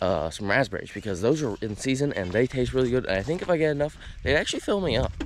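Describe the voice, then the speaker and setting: Vocal fry marks this man's medium-pitched voice. He talks at a very fast pace with very wide pitch swings. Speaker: outdoor YouTuber. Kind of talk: casual vlog narration. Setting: outdoors by a pond.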